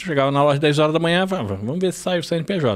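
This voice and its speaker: A man speaks at a moderate pace. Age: 40s. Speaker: podcast co-host. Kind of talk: casual chat. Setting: studio.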